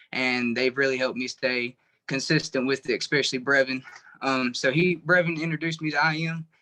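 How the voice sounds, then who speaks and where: A man with a Southern US accent talks at a fairly quick pace in a fairly high, bright and sharp voice. His intonation is fairly even, and the sound is dry and close with no echo. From North Carolina. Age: 20s. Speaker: truck driver sharing his trading story. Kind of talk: personal testimony.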